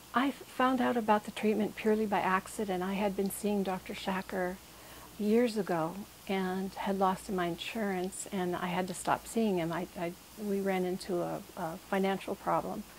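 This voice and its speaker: A woman talks in a normal speaking voice at a moderate pace. Her pitch is medium and her intonation fairly even. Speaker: patient. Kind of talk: testimony.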